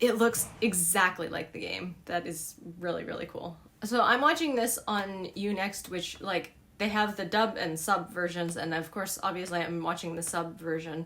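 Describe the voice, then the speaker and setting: An animated woman with a General American accent, medium pitch and ordinary pitch variation, at a moderate pace amid noticeable background noise. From Alaska. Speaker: streamer. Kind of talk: casual chat. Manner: many filler words (um).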